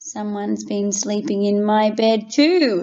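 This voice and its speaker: A woman growls in a put-on character voice at a medium pitch. She speaks at a fairly slow pace. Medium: read story.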